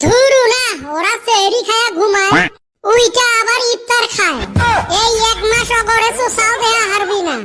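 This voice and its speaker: A rumbling, cartoonish character voice moves at a moderate pace. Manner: grumbling, quick-tempered.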